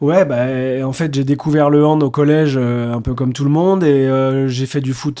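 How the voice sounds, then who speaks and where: A man with an unremarkable speaking voice talks at a moderate pace, with medium pitch and fairly even intonation. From France, Nantes. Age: 40s. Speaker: entrepreneur and former athlete. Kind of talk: interview.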